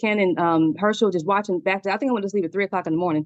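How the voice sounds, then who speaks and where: A woman of medium pitch speaks in an animated tone with ordinary pitch variation. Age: 40s. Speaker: crypto platform member giving testimonial. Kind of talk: testimony. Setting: video call. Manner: fast.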